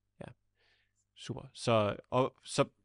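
Close and dry with no echo, the recording carries a man's voice at medium pitch. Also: quiet background. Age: 20s. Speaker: podcast host, YouTuber. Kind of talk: podcast interview.

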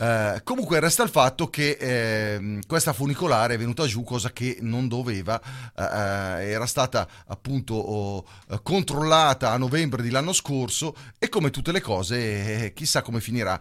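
A man with a medium pitch and an animated tone, lively intonation at a moderate pace, on a very clean recording with a silent background. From Italy. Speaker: radio host. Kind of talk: casual radio talk.

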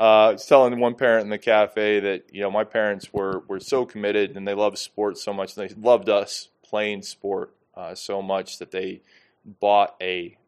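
Over a quiet background, a man with an American accent speaks at a moderate pace, with a fairly low pitch and monotone, flat intonation. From Iowa, US. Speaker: PE teacher, sports coordinator. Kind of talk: casual chat.

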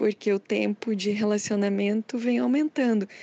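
Over a quiet background, a woman talks at a fairly slow pace in an unremarkable speaking voice, fairly high in pitch with ordinary pitch variation. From Curitiba, Brazil. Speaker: cartoonist. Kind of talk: testimony.

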